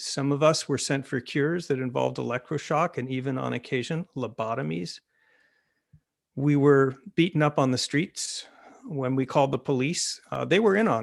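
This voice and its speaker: A man with an American accent speaks at a moderate pace in an unremarkable speaking voice, fairly high in pitch with ordinary variation, on a very clean recording with a silent background. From United States. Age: 60s. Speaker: author. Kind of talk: panel talk.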